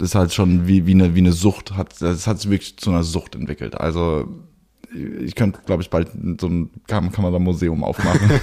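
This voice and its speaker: A man talks with a very deep, low pitch and a dark, mellow tone. His pace is fairly quick, with ordinary pitch variation. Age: 20s. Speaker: photographer and cinematographer. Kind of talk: casual chat. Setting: in his studio. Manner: frequent hesitations and fillers.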